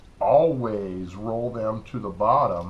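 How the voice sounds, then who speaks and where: Against audible room echo, a man talks at a medium pitch with ordinary pitch variation. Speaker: RC hobby youtuber. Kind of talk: tutorial. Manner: casual, halting with fillers.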